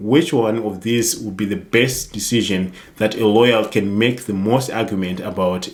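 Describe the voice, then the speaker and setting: A man speaks with a non-native accent at a fairly low pitch. His pace is moderate and his intonation fairly even. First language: not English. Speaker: IT security youtuber. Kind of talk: casual tutorial monologue. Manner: hesitant, some false starts.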